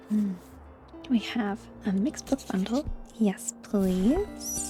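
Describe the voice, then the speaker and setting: A woman speaks softly, with a gentle tone. Music plays in the background. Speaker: gaming video creator. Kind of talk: gentle gameplay commentary. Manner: soft, gentle.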